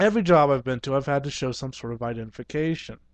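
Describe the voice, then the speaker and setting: A man speaks with ordinary pitch variation. The sound is dry with no echo, and the background is quiet. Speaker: vlogger. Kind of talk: casual vlog rant. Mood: opinionated, incredulous. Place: home room. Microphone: headset.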